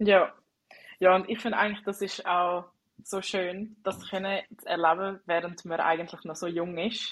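Speaking with a Swiss accent, a woman keeps a medium pitch at a moderate pace. Her intonation is monotone and flat. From Switzerland. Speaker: podcast host. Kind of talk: casual interview chat. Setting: internet call, not in studio.

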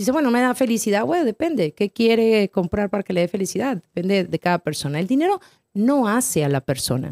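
A woman's medium-pitched voice at a fairly quick pace, with very wide pitch swings and very even loudness, in a dry, close sound with no echo. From northern Mexico (Torreón). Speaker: financial advisor and author. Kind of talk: casual interview chat.

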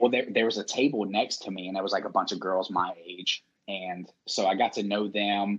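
Here a man with a Southern US accent speaks at a fairly low pitch. His intonation is fairly even and his pace moderate. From Mississippi (Biloxi). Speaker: podcast host and army veteran. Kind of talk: casual chat.

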